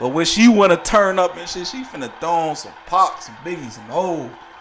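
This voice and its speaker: With an American accent, a man speaks at a moderate pace in a high voice over noticeable background noise. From Chicago. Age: 30s. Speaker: live streamer. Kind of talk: casual chat. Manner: animated.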